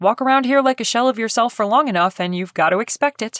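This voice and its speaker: A put-on character voice rattles along at a very fast pace with fairly high pitch. The recording is very clean, with a silent background. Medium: read story.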